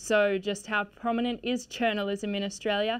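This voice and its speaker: A woman has an unremarkable speaking voice at a fairly high pitch. She keeps a moderate pace. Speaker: trainee news presenter. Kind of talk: TV news intro read from autocue. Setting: studio. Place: studio. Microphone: lapel.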